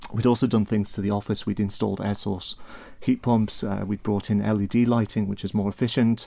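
A man with a Manx accent speaks at a fairly quick pace in a fairly low voice. His tone is dark and mellow, his intonation monotone and flat. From Isle of Man. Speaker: accounting firm partner. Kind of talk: casual chat.

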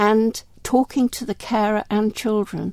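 A woman talks with vocal fry. The recording is very clean, with a silent background. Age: 70s. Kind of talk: interview.

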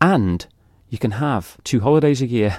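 A man with a Manx accent, a dark, mellow tone and ordinary pitch variation, in a dry, close sound with no echo on a very clean recording with a silent background. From Isle of Man. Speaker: amateur musical theatre performer. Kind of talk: casual interview.

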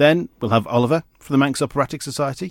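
This man has a normal speaking voice with lively intonation and a medium pitch. The recording is very clean with a silent background. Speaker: podcast host. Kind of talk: interview, podcast intro. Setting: studio.

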